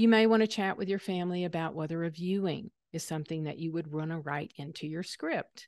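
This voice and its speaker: Over a quiet background, a woman with a slight Southern US accent and fairly low pitch speaks fairly quickly with hardly any pauses. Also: ordinary pitch variation. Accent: slight Southern twang. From US South. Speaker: aging expert presenter. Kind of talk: webinar lecture. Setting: online webinar.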